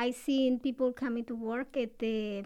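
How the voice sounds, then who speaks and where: Her intonation is fairly even, and this woman speaks with a Latin American accent at a high pitch. The recording is very clean, with a silent background. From Ecuador. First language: Spanish. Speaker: assistant registrar. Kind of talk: interview.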